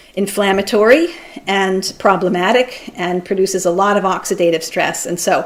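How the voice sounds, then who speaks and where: Noticeable background noise accompanies a woman whose medium-pitched voice has fairly even intonation. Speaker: physician and lecturer. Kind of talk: lecture. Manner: fast.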